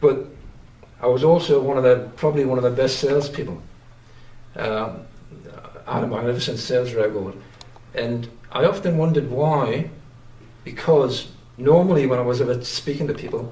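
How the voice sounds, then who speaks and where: A man with a strong Geordie accent speaks at a medium pitch and a moderate pace, with ordinary pitch variation. Long, frequent pauses and audible room echo are present. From northern England, Newcastle upon Tyne (Geordie). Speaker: painter. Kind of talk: interview. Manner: halting, many fillers and restarts.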